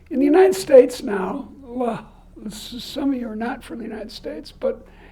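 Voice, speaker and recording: A woman with an American accent speaks in a high pitch. Audible room echo and noticeable background noise surround her voice. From Boston. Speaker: economics professor. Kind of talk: lecture.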